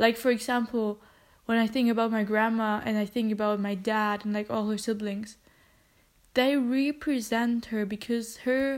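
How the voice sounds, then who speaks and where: The recording is very clean, with a silent background. The delivery is monotone, with flat intonation. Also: woman. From Germany. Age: 20s. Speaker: podcaster. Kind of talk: personal monologue.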